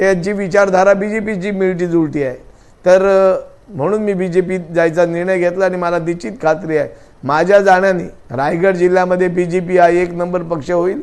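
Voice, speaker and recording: A man's high-pitched voice with fairly even intonation carries audible room echo. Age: 60s. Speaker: former state legislator. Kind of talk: news interview.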